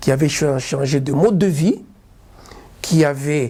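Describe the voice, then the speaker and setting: Speaking at a very slow pace, a man has a fairly high pitch and ordinary pitch variation. His voice is somewhat breathy. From Lubumbashi, Democratic Republic of the Congo. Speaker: lawyer. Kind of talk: interview answer.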